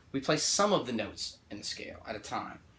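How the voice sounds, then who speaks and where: A man speaks in a bright, sharp tone. His pace is moderate. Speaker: music teacher. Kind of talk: tutorial. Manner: halting, many fillers.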